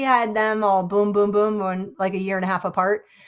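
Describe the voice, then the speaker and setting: This woman's voice sits fairly high in pitch. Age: 60s. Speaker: crafter and live-stream host. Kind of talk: casual chat.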